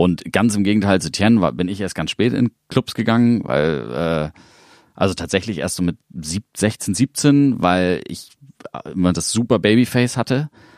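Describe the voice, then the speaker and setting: Recorded with a dry, close sound and no echo, a man speaks in a normal speaking voice, fairly low in pitch, with lively intonation. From Hamburg, northern Germany. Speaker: electronic music producer and label owner. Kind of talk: casual interview. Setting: studio.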